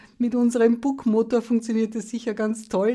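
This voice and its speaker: On a very clean recording with a silent background, a woman with a fairly high pitch and a dark, mellow tone speaks at a moderate pace. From Lower Austria. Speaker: sailor and journalist, co-host. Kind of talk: casual chat.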